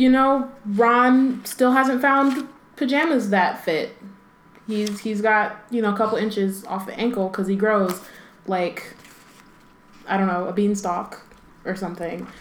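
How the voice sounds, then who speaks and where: Amid noticeable background noise, a woman with a fairly high voice speaks at a fairly slow pace with ordinary pitch variation and long, frequent pauses. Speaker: podcast host.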